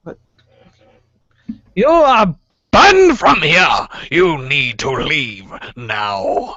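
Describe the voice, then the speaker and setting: A loud, booming put-on character voice at a middle pitch moves very slowly. Long pauses come often. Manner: stern, commanding.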